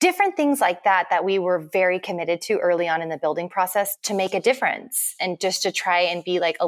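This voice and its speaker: Fairly quick speech with an American accent and ordinary pitch variation. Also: woman. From central Texas. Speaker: homesteader and interior stylist. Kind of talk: casual interview chat.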